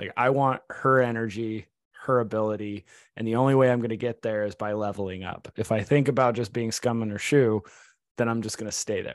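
Over a silent background in a very clean recording, a man talks fairly quickly at a medium pitch with fairly even intonation in an unremarkable speaking voice. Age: 30s. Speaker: podcast co-host. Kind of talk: casual chat.

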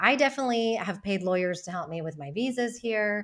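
In a very clean recording with a silent background, a woman with an American accent and an unremarkable speaking voice talks at a fairly quick pace with ordinary pitch variation. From United States. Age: 40s. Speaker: founder of a community for women moving abroad. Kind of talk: podcast interview.

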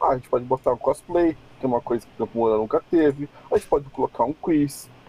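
Lively intonation marks a man's dark, mellow voice. The sound is dry and close, without echo. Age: 40s. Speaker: cosplayer and illustrator. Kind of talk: casual chat.

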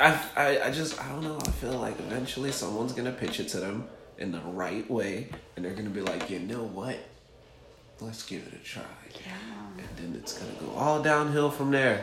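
Lively intonation and big swings in loudness run through a man's medium-pitched voice at a moderate pace. The recording has audible room echo and noticeable background noise. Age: 20s. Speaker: brand ambassador and filmmaker. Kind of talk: casual chat.

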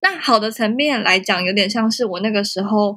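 A woman with a bright, sharp tone and ordinary pitch variation. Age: 20s. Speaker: photographer and social media visual content instructor. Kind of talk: casual interview.

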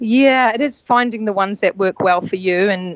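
In a New Zealand accent, a woman speaks at a moderate pace with ordinary pitch variation, the sound dry and close with no echo amid noticeable background noise. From New Zealand, rural North Island. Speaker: yacht stewardess and spa therapist. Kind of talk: casual interview.

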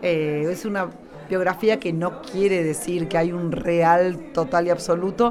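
Crowd noise and audible room echo fill the background as a woman speaks at a fairly slow pace. Her fairly low voice has ordinary pitch variation. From Argentina. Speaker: writer and workshop leader. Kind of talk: interview at a book fair. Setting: live radio booth at a book fair.

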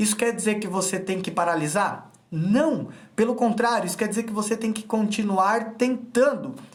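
A man with a high-pitched voice talks at a moderate pace, with audible echo from the room. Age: 30s. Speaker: freemasonry self-help instructor. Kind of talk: motivational live stream talk. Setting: Instagram live video.

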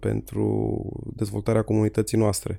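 On a very clean recording with a silent background, a man speaks at a moderate pace. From Romania, Jiu Valley (Petroșani). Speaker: local politician. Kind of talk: casual interview. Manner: halting.

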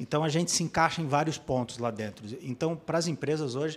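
In an unremarkable speaking voice, a man talks at a fairly quick pace and a fairly high pitch with lively intonation. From Blumenau, Santa Catarina, Brazil. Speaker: app co-founder. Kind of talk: podcast interview.

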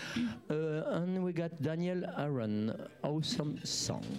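Amid noticeable background noise and audible room echo, a man with a fairly high voice talks with lively intonation. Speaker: live music show host. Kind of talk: casual live interview. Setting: live studio stream with bar. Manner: halting, hesitant.

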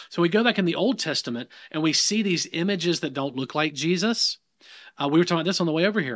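A man with a slight Southern US accent talks at a very fast pace and a high pitch, with ordinary pitch variation. The recording is very clean, with a silent background. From US South. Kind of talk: casual conversation about faith.

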